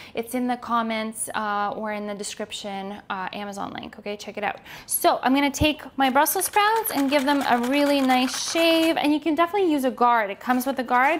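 Against light background noise, a woman with a high pitch talks at a fairly quick pace with lively intonation and hardly any pauses. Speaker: cooking host. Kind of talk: tutorial. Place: kitchen. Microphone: lapel.

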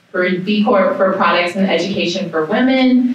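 A woman in a room with strong echo, fairly slow and with fairly even intonation.

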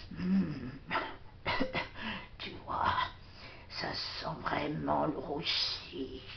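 A woman's cartoonish character voice at a very slow pace, over clear background noise. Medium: puppet.

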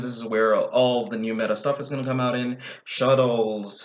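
The pace is moderate as this man talks. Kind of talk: casual vlog chat. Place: home room. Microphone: webcam.

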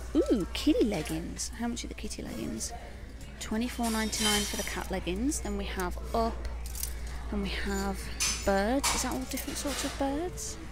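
A woman at a moderate pace with long, frequent pauses, in a dry sound with no echo, over clear music in the background. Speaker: shopping vlogger. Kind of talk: casual vlog chat. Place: shop. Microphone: phone near.

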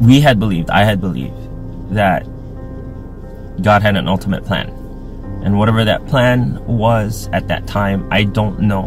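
Clear music plays in the background as a man with a fairly low pitch speaks at a fairly slow pace with ordinary pitch variation, the sound dry with no echo. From Hawaii. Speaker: YouTube reactor. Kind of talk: personal testimony. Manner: emotional, earnest. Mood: somber, emotional, hopeful. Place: car. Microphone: phone near.

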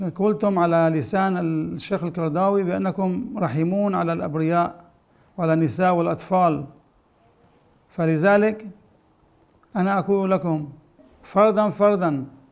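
A high-pitched male voice with ordinary pitch variation, fairly slow pace and long, frequent pauses, over a quiet background. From Syria, Aleppo; Syria. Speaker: rabbi. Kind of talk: public appeal. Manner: halting. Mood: earnest, pleading. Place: home room.

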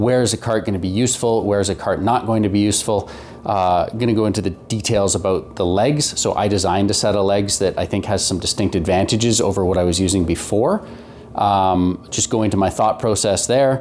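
A man with a fairly low pitch and an ordinary speaking voice, fairly quick pace, very even loudness, fairly even intonation, and light background noise. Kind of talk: casual explanatory vlog talk. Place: garage.

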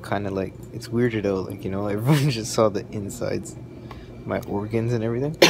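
Loud background noise behind a man's moderately paced speech. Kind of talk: casual vlog chat. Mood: groggy, joking after procedure. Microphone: phone near.

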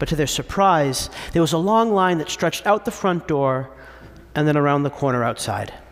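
At a moderate pace, a man speaks in an animated, warm tone with lively intonation. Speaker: priest. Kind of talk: sermon. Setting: church. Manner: clear, persuasive preacher's cadence with a laugh and a storytelling tone. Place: church. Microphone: podium.

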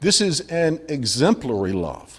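At a very slow pace, a somewhat breathy man with a fairly high pitch swings his pitch very widely. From US South, Montgomery, Alabama; Alabama. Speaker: pastor. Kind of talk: sermon. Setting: church. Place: church. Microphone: podium.

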